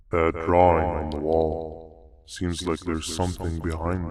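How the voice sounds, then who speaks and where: Putting on a character voice, a man talks at a moderate pace in a very deep, low pitch with monotone, flat intonation. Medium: video game.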